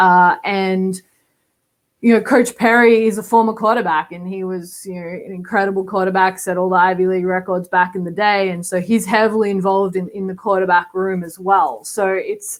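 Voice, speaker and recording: A woman with an Australian accent, medium pitch, fairly even intonation, big swings in loudness and a moderate pace. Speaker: college football quarterbacks coach. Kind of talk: podcast interview.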